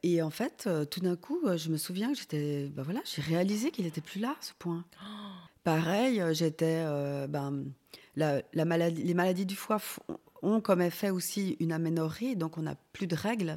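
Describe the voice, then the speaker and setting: A dark, mellow tone at a fairly slow pace. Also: woman, fairly low pitch for a woman, ordinary pitch variation. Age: 40s. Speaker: organ transplant recipient. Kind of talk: testimony. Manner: halting.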